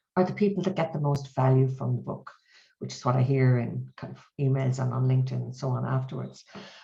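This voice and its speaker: In an Irish accent, a woman talks at a very fast pace with big swings in loudness. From Ireland. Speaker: mediation trainer and author. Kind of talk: webinar interview. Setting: video call.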